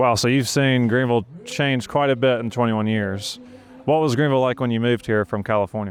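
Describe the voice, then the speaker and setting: The speaker has an American accent and talks at a fairly quick pace. The intonation stays fairly even, with music in the background. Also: man, medium pitch for a man. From South Carolina, Saluda (middle of the state). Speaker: real estate agent and video host. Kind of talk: street interviews. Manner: little mouth movement.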